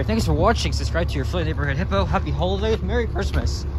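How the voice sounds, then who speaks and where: A man at a very fast pace, with a dry sound with no echo and noticeable background noise. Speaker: vlogger. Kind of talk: vlog narration while walking. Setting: outdoors, walking in cold. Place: street. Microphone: phone near.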